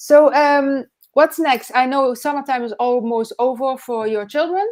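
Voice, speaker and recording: Speaking at a fairly slow pace, a woman with a high voice shows ordinary pitch variation. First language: not English. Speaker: online business coach, live show host. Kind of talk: live interview chat. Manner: halting, many fillers.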